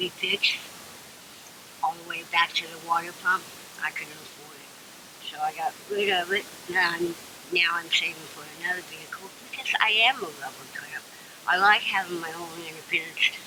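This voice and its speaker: A woman with an American accent and a fairly low pitch talks at a moderate pace with fairly even intonation, big swings in loudness and long, frequent pauses, over noticeable background noise. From California. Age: 60s. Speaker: homeless woman. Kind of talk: interview testimony.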